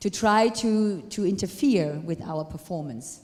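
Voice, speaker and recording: In a non-native accent, a woman speaks fairly slowly at a medium pitch in a dark, mellow tone with lively intonation, over audible room echo. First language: not English. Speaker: retired ballroom dancer and dance teacher. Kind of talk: lecture.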